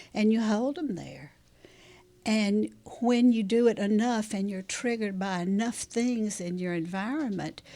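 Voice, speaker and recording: In a Southern US accent, a woman speaks at a fairly slow pace, her fairly high voice dark and mellow in tone, with ordinary pitch variation. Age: 70s. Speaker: trauma therapist. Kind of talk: interview.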